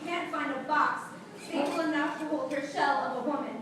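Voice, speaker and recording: Amid noticeable background noise, a woman with an extremely high pitch and an intense tone talks at a moderate pace with fairly even intonation. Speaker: slam poet. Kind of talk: slam poetry performance. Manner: intense, emotional.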